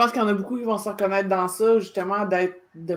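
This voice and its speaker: Speaking fairly quickly, a woman holds a medium pitch in a monotone, flat intonation. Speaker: podcast host. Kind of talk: interview. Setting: live video stream.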